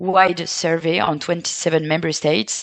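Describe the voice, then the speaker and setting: A woman speaks with a French accent. The background is quiet. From France. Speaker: care sector representative. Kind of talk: panel discussion. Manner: halting, many fillers.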